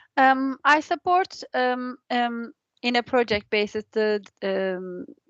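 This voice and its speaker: Speaking at a very slow pace with a non-native accent, a woman uses lively intonation and a high pitch, recorded in a dry, close sound with no echo. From outside England. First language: not English. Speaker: training coordinator. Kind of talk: online meeting introduction. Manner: halting, many fillers.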